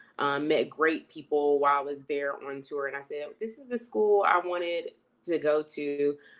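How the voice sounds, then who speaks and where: A woman at a moderate pace in a very deep, low voice with a North Carolina accent, ordinary pitch variation, and a very clean recording with a silent background. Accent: Southern, North Carolina. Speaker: university alumna, health and fitness coach. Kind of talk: interview.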